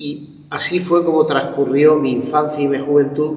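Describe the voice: Speaking at a moderate pace, a man uses a fairly high pitch with little pitch movement. Room echo is audible.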